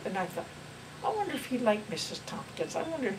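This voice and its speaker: Noticeable background noise and audible room echo both come through in the audio. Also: woman. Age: 90s. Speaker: family elder recalling her life. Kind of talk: family reminiscence interview. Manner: halting.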